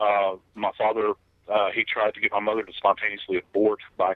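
With a Southern US accent, a man talks at a very fast pace. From US South. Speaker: retired death investigator and author. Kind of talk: interview.

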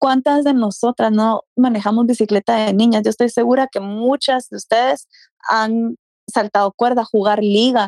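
A woman with an ordinary speaking voice talks at a moderate pace in a fairly high pitch, her loudness very even and the sound dry and close with no echo. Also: fairly even intonation. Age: 30s. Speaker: fitness enthusiast. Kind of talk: casual interview.

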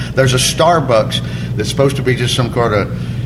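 With audible room echo and noticeable background noise, a man speaks in an Alabama accent. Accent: US Southern (Alabama). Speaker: stand-up comedian. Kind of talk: casual chat.

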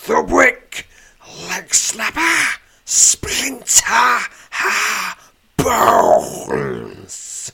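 In a put-on character voice, a man speaks at a very slow pace, raspy and with a menacing tone. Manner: menacing, commanding.

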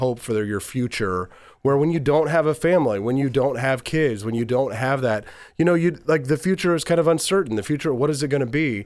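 A man with an American accent and a plain, everyday voice talks at medium pitch with ordinary pitch variation on a very clean recording with a silent background. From Missouri. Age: 40s. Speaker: radio host and former presidential candidate. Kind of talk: casual interview.

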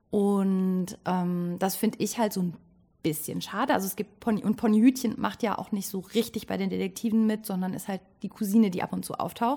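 A woman talks at a moderate pace in a somewhat breathy voice. Her tone is dark and mellow, with ordinary pitch variation. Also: medium pitch for a woman. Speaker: actress and theatre director. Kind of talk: casual interview. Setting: rehearsal stage.

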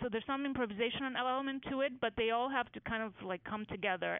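A woman speaks in a Greek accent, with ordinary pitch variation. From Greece. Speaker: medical imaging researcher. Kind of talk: interview. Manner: halting with many fillers.

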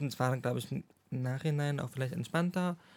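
This man talks at a fairly quick pace in a fairly high pitch, with fairly even intonation and an unremarkable speaking voice. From Schwerin, Mecklenburg-Western Pomerania, Germany. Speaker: psychology graduate. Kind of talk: casual chat.

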